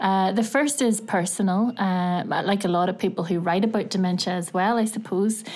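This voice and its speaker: Her voice sits at a medium pitch as the woman talks at a moderate speed. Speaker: university lecturer. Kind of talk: interview conversation. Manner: hesitant, many fillers.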